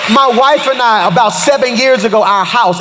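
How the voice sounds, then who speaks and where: A man speaks in an animated tone with ordinary pitch variation. Music plays in the background. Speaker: pastor. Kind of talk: sermon. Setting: church stage. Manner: fast.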